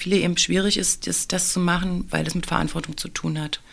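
Recorded very cleanly over a silent background, a woman with a fairly low pitch and vocal fry talks at a moderate pace with lively intonation. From Saxony-Anhalt, eastern Germany. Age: 40s. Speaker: teacher. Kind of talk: interview. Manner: hesitant, many fillers.

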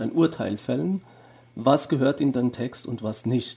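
Pitched in the medium range, a man's dark, mellow voice with vocal fry moves at a moderate pace and shows ordinary pitch variation. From Germany. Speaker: theology professor. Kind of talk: interview.

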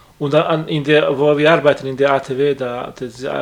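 A man's fairly high-pitched voice with a non-native accent, over noticeable background noise. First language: not German (speaking German). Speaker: friend of the victim, workshop colleague. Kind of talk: interview. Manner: halting.

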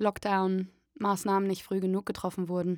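A woman's medium-pitched, monotone, flat voice at a fairly slow pace on a very clean recording with a silent background. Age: 30s. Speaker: voice actor and musical performer. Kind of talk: interview testimony. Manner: hesitant with many fillers.

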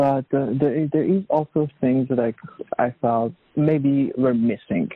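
Lively intonation from a man at a medium pitch, delivered at a moderate pace. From Iran. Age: 20s. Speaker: refugee, artist and activist. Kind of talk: interview testimony. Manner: halting.

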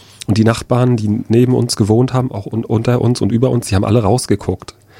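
Through noticeable background noise, a man talks very fast at a medium pitch. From Rostock, northern Germany. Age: 30s. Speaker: eyewitness, NGO worker. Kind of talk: radio interview, personal testimony. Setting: radio studio.

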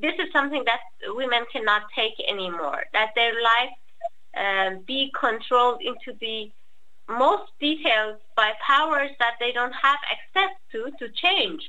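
Noticeable background noise surrounds a woman with a high pitch. She speaks at a fairly slow pace with a Persian accent. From Iran. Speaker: activist. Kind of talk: talk. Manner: halting.

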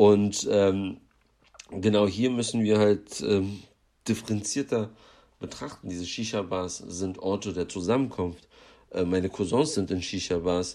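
Speaking at a fairly slow pace with long, frequent pauses, a man has a fairly low pitch, a dark, mellow tone and ordinary pitch variation. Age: young. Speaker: activist. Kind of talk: pre-recorded interview answer. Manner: halting with repetitions.

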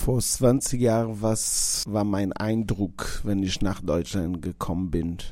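A man with a Portuguese accent speaks at a very slow pace and fairly low pitch with hardly any pauses. Noticeable background noise is present. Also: ordinary pitch variation. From Portugal. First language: Portuguese (speaking German). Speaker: restaurant owner. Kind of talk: interview monologue.

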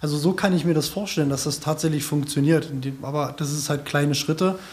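Very fast, somewhat breathy speech in a monotone, flat intonation. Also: man. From small town in Germany. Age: 30s. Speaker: community radio editor. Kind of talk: round-table discussion.

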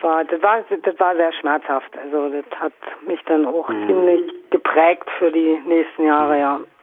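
Noticeable background noise behind a woman's fairly low voice, fairly slow in pace and with ordinary pitch movement. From Brandenburg, East Germany. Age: 50s. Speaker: anarchist activist. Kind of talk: interview.

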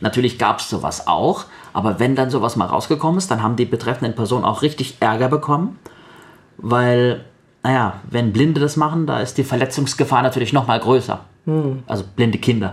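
Somewhat breathy and medium in pitch, a man's voice moves at a fairly quick pace with ordinary pitch variation. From Baden-Württemberg, Sindelfingen. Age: 30s. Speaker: blind guest, trained voice speaker. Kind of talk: radio interview.

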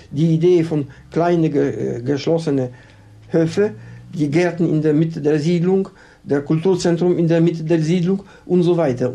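With a Polish accent, a man speaks at a fairly slow pace, his pitch fairly high with ordinary variation. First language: Polish (speaking German). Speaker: architect. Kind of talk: interview. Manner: halting.

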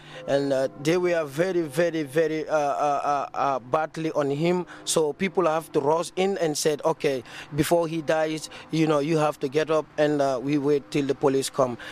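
Over noticeable background noise, a man talks at a fairly slow pace with a fairly high pitch, fairly even intonation and very even loudness. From Gambia. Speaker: refugee camp resident. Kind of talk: interview. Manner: halting.

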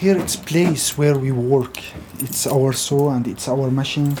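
The speaker has an Arabic accent and talks at a very slow pace. Noticeable background noise runs underneath. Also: man. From Syria. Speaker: refugee carpenter. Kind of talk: interview.

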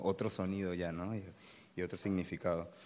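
In a very clean recording with a silent background, a man with a very deep, low pitch speaks at a moderate pace in a monotone, flat intonation. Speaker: university lecturer, audience member. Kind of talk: audience Q&A discussion.

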